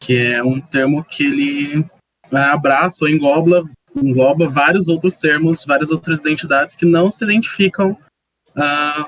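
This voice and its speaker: A man with a normal speaking voice talks at a fairly high pitch. He moves at a fairly slow pace with fairly even intonation. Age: 20s. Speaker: guest. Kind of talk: casual chat.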